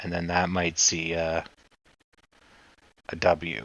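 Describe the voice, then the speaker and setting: With fairly even intonation, a man talks at a very deep, low pitch. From Canada. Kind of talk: live stock chart analysis stream. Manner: casual, conversational.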